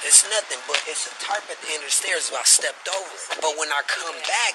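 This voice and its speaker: Through noticeable background noise, a high-pitched man speaks at a fairly quick pace with ordinary pitch variation. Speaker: witness reporting to police. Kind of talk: bodycam conversation with police. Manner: whispering.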